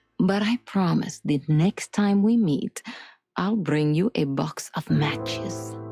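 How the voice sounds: A woman's put-on character voice in an Eastern European accent, low in pitch with a dark, mellow tone, a slightly husky edge and vocal fry, slow in pace with ordinary pitch variation, and faint music in the background.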